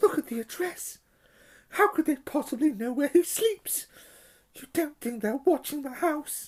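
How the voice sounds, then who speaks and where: A put-on character voice speaks high and shaky. The pace is moderate. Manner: frightened, worried.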